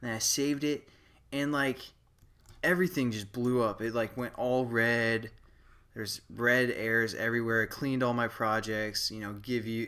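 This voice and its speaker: A man's mumbling at medium pitch, bright and sharp in tone, at a moderate pace. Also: ordinary pitch variation. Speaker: programming tutorial maker. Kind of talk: tutorial. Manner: casual, many fillers.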